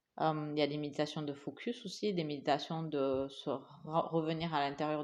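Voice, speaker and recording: Fairly even intonation marks this voice, which has a slight non-native accent. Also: woman. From Asia. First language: English (speaking French). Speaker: podcast co-host. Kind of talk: casual chat. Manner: halting.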